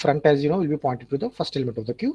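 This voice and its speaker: With a dark, mellow tone and a fairly high pitch, a man sounds somewhat breathy in a dry, close recording with no echo. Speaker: lecturer. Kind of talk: lecture. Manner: fast.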